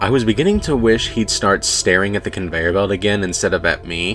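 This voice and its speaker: Music plays in the background. A man talks at a fairly low pitch with ordinary pitch variation. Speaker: narrator. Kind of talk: horror story narration.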